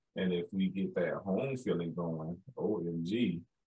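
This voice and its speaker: With a Southern US accent, a man talks in a very deep, low pitch. His pitch varies in an ordinary way over a quiet background. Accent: Southern-tinged, sounds country. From Chicago. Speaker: podcast host. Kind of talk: interview. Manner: animated. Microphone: video call.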